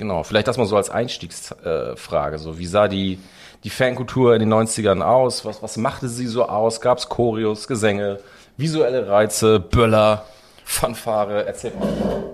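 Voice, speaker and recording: Fairly low in pitch, a man's plain, everyday voice moves at a moderate pace with ordinary pitch variation. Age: 40s. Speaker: podcast host. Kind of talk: casual chat.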